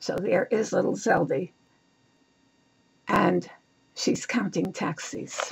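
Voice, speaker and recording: Speaking with a New York accent, a woman goes at a very slow pace with long, frequent pauses. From New York City, Lower East Side of Manhattan. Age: 80s+. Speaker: author. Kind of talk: reading aloud.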